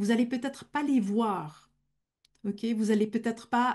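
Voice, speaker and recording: A woman speaks at a fairly high pitch and a fairly slow pace, somewhat breathy, with a dark, mellow tone. The background is quiet. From German-speaking Switzerland. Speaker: medium. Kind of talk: Q&A in a masterclass.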